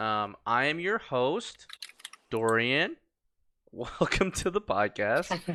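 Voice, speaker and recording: A man speaks at a medium pitch with very wide pitch swings and long, frequent pauses. His loudness stays very even, and his tone is bright and sharp. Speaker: podcast host. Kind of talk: casual chat. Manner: fast.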